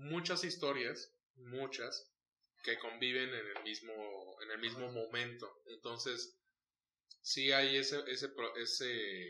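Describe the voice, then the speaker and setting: Speaking very slowly with long, frequent pauses, a man talks at a medium pitch with ordinary pitch variation. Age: 30s. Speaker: podcast host. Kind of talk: casual chat.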